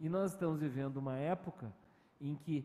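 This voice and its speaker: At a moderate pace, a man with a southern Brazilian accent speaks in a dark, mellow tone. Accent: gaúcho accent, recently regained. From Rio de Janeiro, Brazil. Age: 50s. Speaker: communication professor. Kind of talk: interview answer. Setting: virtual event.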